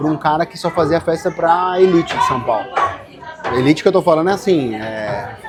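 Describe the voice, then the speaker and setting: A high-pitched man talks at a moderate pace with lively intonation and big swings in loudness. Noticeable background noise runs underneath. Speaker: furniture designer. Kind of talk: casual interview chat.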